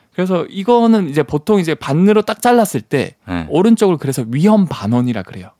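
This man's high-pitched voice has a dark, mellow tone and very wide pitch swings. He talks fairly quickly with hardly any pauses, and the sound is dry and close with no echo. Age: 30s. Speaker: science communicator. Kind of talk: casual radio chat explaining science.

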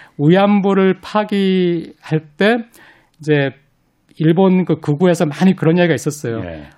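On a very clean recording with a silent background, a man speaks at a fairly slow pace in a high pitch and a dark, mellow tone, with ordinary pitch variation and long, frequent pauses. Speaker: professor. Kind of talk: radio interview.

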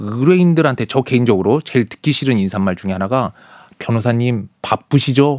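An unremarkable speaking voice moves at a fairly quick pace with lively intonation, in a very clean recording with a silent background and a dry, close sound with no echo. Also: man. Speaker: lawyer. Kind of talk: casual chat.

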